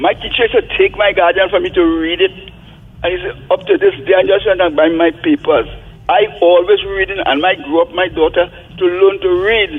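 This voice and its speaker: With music in the background, a man talks at a fairly quick pace in a high pitch with ordinary pitch variation. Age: 80s+. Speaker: caller. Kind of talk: call-in radio comment.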